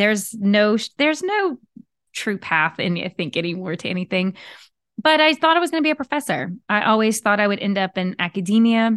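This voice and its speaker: A woman with an American accent talks at a fairly quick pace and fairly high pitch, her voice making very wide pitch swings in a dry, close recording with no echo and a quiet background. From Southern Louisiana, US (Cajun). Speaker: podcast host and leadership coach. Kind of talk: casual solo monologue.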